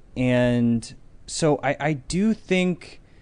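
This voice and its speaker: With an American accent, a man talks in front of a quiet background. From Connecticut, South Norwalk. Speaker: tech company founder. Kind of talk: casual chat. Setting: studio livestream.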